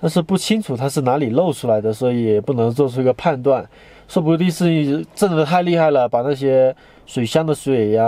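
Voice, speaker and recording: This man speaks at a fairly quick pace with ordinary pitch variation. The sound is dry, without any echo. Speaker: travel vlogger. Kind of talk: casual vlog chat. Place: car. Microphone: phone near.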